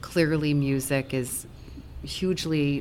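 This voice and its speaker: In a room with audible echo, a woman with an American accent and a very deep, low pitch speaks at a very slow pace with ordinary pitch variation. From US Northeast (Long Island, New York). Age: 40s. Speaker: bar and music venue owner. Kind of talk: casual interview. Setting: on a venue stage.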